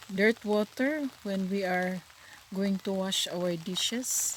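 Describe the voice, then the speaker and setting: A woman speaks at a medium pitch and a very slow pace. Noticeable background noise is present. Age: old. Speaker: retired teacher. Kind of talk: casual vlog talk to camera.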